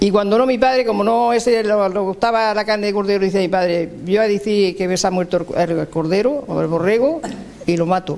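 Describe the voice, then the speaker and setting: A man's high-pitched voice with ordinary pitch variation, very even loudness, and noticeable background noise. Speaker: elderly villager. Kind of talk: interview recollection.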